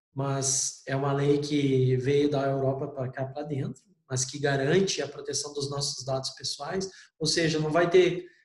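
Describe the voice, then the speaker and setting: Somewhat breathy and fairly high in pitch, a man speaks at a fairly slow pace with monotone, flat intonation. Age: 40s. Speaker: university lecturer. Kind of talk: online lecture. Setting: remote class.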